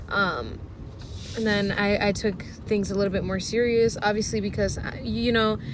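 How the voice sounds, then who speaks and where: A woman at medium pitch and a moderate pace, with fairly even intonation, noticeable background noise and audible room echo. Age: 20s. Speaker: vlogger. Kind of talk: casual vlog monologue.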